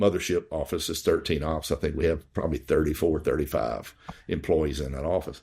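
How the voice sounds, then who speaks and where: A man with a Southern US accent speaks with vocal fry on a very clean recording with a silent background. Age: 60s. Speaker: dentist and practice owner. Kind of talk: podcast interview. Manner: halting, many fillers.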